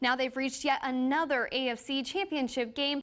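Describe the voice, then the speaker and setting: A high-pitched female voice at a fairly brisk speed. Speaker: TV news anchor and reporter. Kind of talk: TV news anchor read. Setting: studio.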